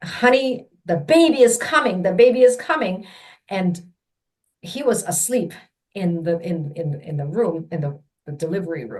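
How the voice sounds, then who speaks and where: Speaking at a moderate pace with a Mandarin accent, a woman uses a medium, somewhat breathy voice with very wide pitch swings and big swings in loudness. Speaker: childbirth educator. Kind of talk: personal storytelling.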